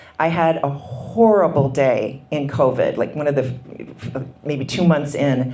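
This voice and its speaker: With an American accent, a woman speaks at a fairly slow pace in a very deep, low pitch with ordinary pitch variation, over noticeable background noise and audible room echo. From Minnesota. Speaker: author. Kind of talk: book talk interview. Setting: book signing event.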